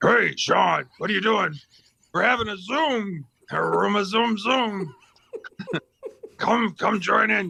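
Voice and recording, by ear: A man puts on a raspy character voice, high in pitch. He speaks at a fairly slow pace with long, frequent pauses.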